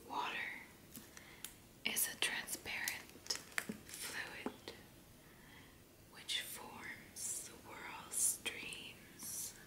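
The speaker whispers at a very slow pace. Long pauses come often. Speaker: ASMR creator. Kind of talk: ASMR fact reading. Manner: soft whispering. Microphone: studio mic.

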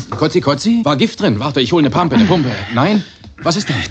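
A very fast, fairly high male voice with very wide pitch swings over noticeable background noise. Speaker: voice actor. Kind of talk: comedic TV series dubbing.

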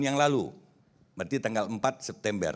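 Lively intonation from a man. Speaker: press figure from West Sumatra. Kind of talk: talk show panel discussion. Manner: halting, many fillers. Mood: calm, explanatory. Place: studio. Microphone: handheld.

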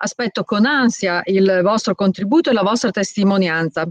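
A woman with a normal speaking voice talks at a moderate pace with lively intonation, the sound dry with no echo and the background quiet. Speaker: association president. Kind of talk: commemorative speech. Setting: video call. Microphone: webcam.

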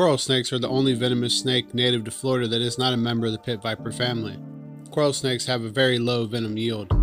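Clear music plays in the background. Over it, a man speaks at a very fast pace with fairly even intonation. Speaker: presenter. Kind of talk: educational presentation to camera. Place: garden.

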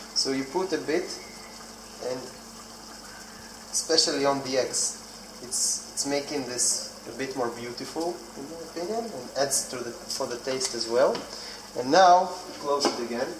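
A man at a moderate pace with ordinary pitch variation and long, frequent pauses over noticeable background noise. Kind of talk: tutorial. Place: kitchen. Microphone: phone near.

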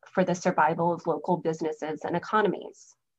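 The voice is a woman's. Behind her, things are quiet. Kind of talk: lecture. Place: home room. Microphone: webcam.

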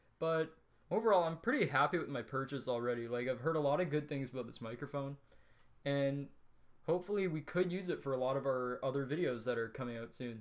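Speaking at a very fast pace, the man shows ordinary pitch variation. All is quiet behind him. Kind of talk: casual unboxing review. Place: home room. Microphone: studio mic.

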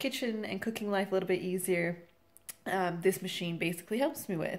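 Ordinary pitch variation carries a woman's fairly quick pace. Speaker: home cooking vlogger. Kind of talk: casual tutorial intro. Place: kitchen. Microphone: phone near.

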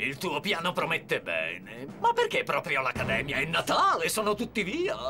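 Clear music plays in the background as someone does a put-on character voice at a moderate pace. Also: man. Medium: fan dub. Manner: bossy, gleeful, grandiose.

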